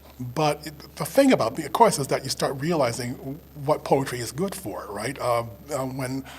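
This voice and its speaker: Amid noticeable background noise, a man with an American accent speaks at a moderate pace and fairly high pitch, with ordinary pitch variation and big swings in loudness. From US Northeast, Rochester, New York. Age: 70s. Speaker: poet and professor. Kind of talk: interview conversation. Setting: public library event. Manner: halting, with repeated words and fillers.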